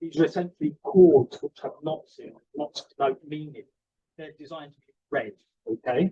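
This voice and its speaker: A man in a Cockney accent at a moderate pace, big swings in loudness, dry, close sound with no echo. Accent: Cockney London English. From London (East End). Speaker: archivist and curator. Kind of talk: conference lecture.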